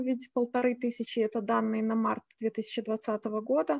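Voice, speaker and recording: Her pitch varies in the usual, ordinary way. The woman's voice sits high. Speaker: moderator, social entrepreneurship expert. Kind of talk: panel moderation. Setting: video call.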